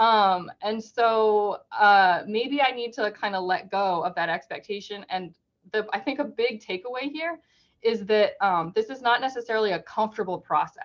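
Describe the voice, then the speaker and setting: Her voice fairly high in pitch, a woman speaks with ordinary pitch variation. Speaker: workshop presenter. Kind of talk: webinar presentation. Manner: fast.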